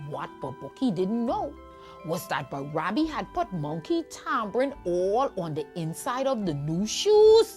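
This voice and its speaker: With music in the background, a woman at a medium pitch speaks at a fairly slow pace, her pitch making very wide swings. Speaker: storyteller. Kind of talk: children's folk tale storytelling. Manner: lively, engaging.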